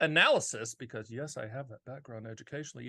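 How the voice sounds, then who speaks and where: A man with an American accent talks against a quiet background. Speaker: annuity and finance commentator.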